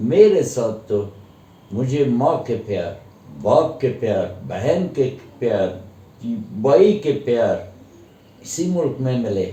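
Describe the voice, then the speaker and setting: A man's dark, mellow tone with very wide pitch swings and long, frequent pauses. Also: medium pitch for a man. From Afghanistan. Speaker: Afghan guest who studied in India. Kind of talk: interview answer.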